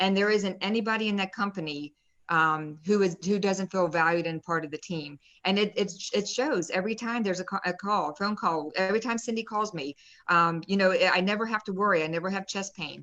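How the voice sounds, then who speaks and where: Speaking at a fairly quick pace with an American accent, a woman has a bright, sharp tone. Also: medium pitch for a woman, ordinary pitch variation. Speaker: real estate investor and nurse. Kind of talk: live-stream interview, personal testimony. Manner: fast; animated.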